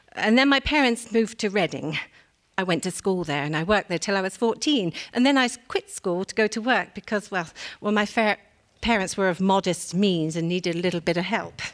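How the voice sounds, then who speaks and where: A woman with an English accent talks at a fairly quick pace and medium pitch with lively intonation, recorded very cleanly against a silent background. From England. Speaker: war bride; reader of an oral history. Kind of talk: dramatic reading of an oral history.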